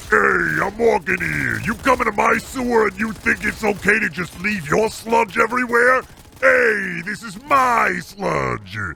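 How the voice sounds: In a put-on character voice, the delivery moves at a fairly slow pace. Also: man, high pitch for a man.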